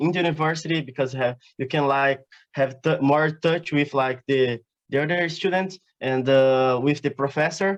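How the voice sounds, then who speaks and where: Speaking in a Portuguese accent, a man with a fairly high pitch keeps a moderate pace and fairly even intonation. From southern Brazil, Paraná. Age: 20s. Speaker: exchange student. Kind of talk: interview. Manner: halting, many fillers.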